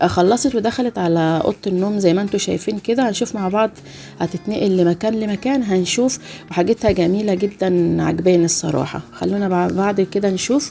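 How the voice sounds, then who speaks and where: Over noticeable background noise, a woman with an Egyptian accent talks at a moderate pace. Her pitch is medium, with ordinary pitch variation and very even loudness. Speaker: YouTuber narrating a home routine video. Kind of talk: casual video commentary. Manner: hesitant, many fillers.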